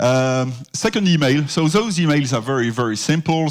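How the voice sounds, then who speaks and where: This man speaks with a French accent at a moderate pace and with lively intonation. The recording is very clean, with a silent background. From France. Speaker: security consultant. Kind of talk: conference presentation.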